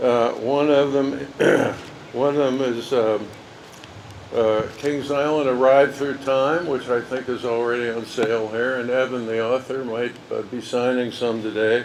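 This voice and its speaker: Speech comes at a fairly slow pace with monotone, flat intonation. Noticeable background noise and audible room echo surround it. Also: man, medium pitch for a man. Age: 80s+. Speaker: park founder and former general manager. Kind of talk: ceremony speech. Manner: halting.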